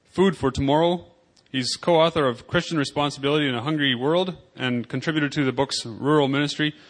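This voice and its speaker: Against a quiet background, a man talks very fast at a fairly high pitch with ordinary pitch variation. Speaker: conference session host. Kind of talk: introducing a speaker.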